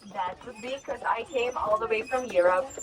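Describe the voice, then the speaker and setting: Noticeable background noise sits behind a woman's voice. She talks at a moderate pace with lively intonation. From Croatia. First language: Croatian. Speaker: carriage tour guide. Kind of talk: guided tour talk. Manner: animated.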